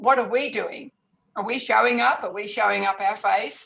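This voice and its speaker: A woman with an Australian accent, fairly high in pitch, with ordinary pitch variation. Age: 70s. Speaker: life coach and author. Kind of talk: interview.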